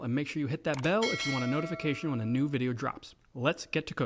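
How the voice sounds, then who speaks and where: An unremarkable speaking voice, a man at a fairly quick pace with ordinary pitch variation. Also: very clean recording, silent background. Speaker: cooking video host. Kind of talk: tutorial. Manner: casual.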